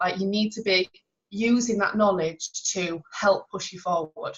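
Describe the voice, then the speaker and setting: This is a woman with a medium-pitched voice. Her pitch varies in an ordinary way. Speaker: sales team trainer. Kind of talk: online team training talk. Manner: fast.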